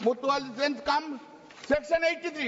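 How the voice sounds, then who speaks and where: Against noticeable background noise, a man speaks fairly quickly with fairly even intonation. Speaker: member of parliament. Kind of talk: parliamentary debate speech. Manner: fast.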